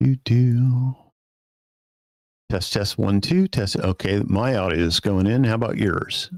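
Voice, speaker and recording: In a dry, close sound with no echo, a man with a fairly low pitch speaks at a fairly slow pace, his intonation lively and his loudness very even, pausing long and often. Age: 60s. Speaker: sound engineer. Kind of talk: technical setup chat. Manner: halting, many fillers.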